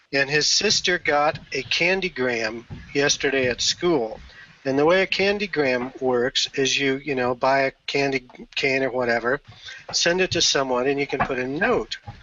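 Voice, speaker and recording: Loudness stays very even as a man speaks at a moderate pace. His pitch is fairly high, with ordinary variation. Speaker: community leader. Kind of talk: casual chat.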